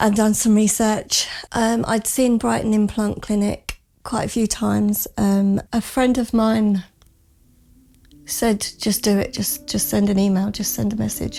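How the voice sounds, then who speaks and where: With a southern English accent, a woman speaks at a fairly high pitch in a dark, mellow, somewhat breathy tone. Her pace is fairly slow and her intonation fairly even. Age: 40s. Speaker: dental patient. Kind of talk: testimony. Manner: hesitant, with many fillers.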